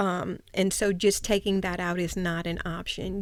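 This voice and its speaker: In a Louisiana accent, a woman speaks at medium pitch with monotone, flat intonation and a moderate pace. The recording is very clean with a silent background. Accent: Louisiana Southern US. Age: 60s. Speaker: breast cancer patient, host's mother. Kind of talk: podcast interview. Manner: explanatory, hesitant with fillers.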